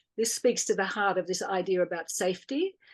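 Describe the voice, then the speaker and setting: Her delivery is at a moderate speed, in an Australian accent. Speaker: birth educator and doula. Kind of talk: interview.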